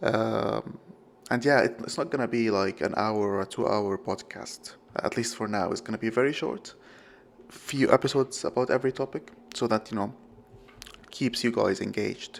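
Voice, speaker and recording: A man with a non-native accent, medium pitch, vocal fry, ordinary pitch variation and a moderate pace. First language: not English. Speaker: podcast host. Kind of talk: solo podcast monologue. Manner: halting, many fillers and self-corrections.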